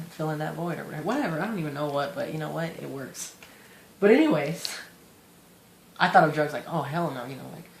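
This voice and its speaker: Audible room echo surrounds speech delivered at a very fast pace. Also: man. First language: Spanish. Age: 20s. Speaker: vlogger in recovery from addiction. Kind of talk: personal testimony monologue. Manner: halting, rambling with many fillers.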